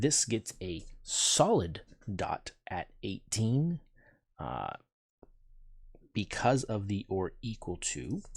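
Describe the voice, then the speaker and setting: Long, frequent pauses break up a man's somewhat breathy voice in a very clean recording with a silent background. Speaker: math teacher. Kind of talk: tutorial.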